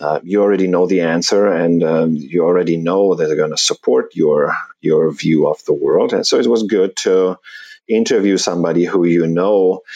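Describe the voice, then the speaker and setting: Speaking at a moderate pace, a man talks with a German accent. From Germany. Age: 40s. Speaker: personal finance blogger, early retiree. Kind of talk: interview. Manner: halting.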